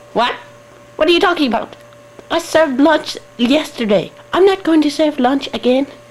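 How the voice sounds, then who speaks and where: In a put-on character voice pitched high, the speaker leaves long, frequent pauses. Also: moderate pace. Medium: fan dub. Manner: fretful, whiny.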